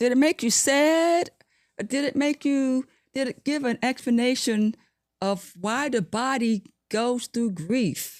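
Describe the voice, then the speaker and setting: A woman with a high pitch, lively intonation, and a fairly slow pace, in a very clean recording with a silent background and a dry, close sound with no echo. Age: 70s. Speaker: podcast host, line dance teacher. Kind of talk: guided closing reflection; casual chat.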